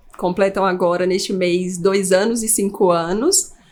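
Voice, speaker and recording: At a fairly slow pace with ordinary pitch variation, this is an unremarkable speaking voice. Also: woman. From Brazil, Pará and Goiânia. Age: 30s. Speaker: geriatric doctor. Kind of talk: podcast interview.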